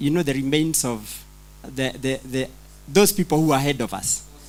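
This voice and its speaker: A man's fairly high-pitched voice with a non-native accent, ordinary pitch variation and a fairly slow pace. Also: long, frequent pauses. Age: old. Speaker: pastor attending conference. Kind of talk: audience question. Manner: halting, repetitive.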